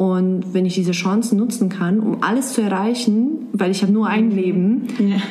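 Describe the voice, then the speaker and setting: A woman with a Serbian accent talks at a medium pitch with very even loudness and hardly any pauses. Noticeable background noise runs under her speech. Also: fairly even intonation, moderate pace. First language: Serbian (speaking German). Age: 20s. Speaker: blogger and office worker. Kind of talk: interview. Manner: halting.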